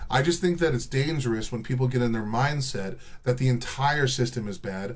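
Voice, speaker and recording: Audible room echo surrounds a man with an American accent whose somewhat breathy, animated voice moves at a moderate pace with ordinary pitch variation. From Texas. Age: 30s. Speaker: livestreamer. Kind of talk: casual chat. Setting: live stream.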